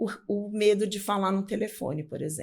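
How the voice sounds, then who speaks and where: A woman's dark, mellow voice at medium pitch, moderate in pace, with ordinary pitch variation. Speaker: public speaking coach. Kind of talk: interview. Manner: talkative.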